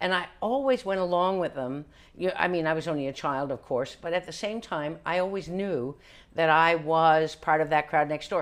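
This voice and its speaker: A woman with a fairly low pitch speaks at a moderate pace in an ordinary speaking voice, with ordinary pitch variation. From Newfoundland, Canada. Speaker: actor, comedian, author. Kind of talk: interview answer.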